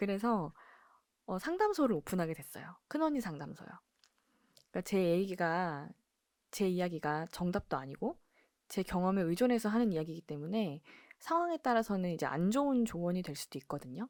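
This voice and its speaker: On a very clean recording with a silent background, a woman speaks at a fairly quick pace with lively intonation, broken by long, frequent pauses. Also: medium pitch for a woman. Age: 40s. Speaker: embroidery workshop owner and YouTuber. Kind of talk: casual vlog monologue.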